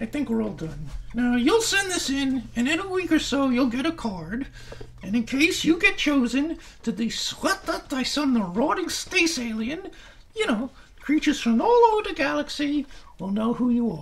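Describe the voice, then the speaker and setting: A man in a put-on character voice at an extremely high pitch, moderate pace, light background noise. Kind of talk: ventriloquist comedy routine, children's show.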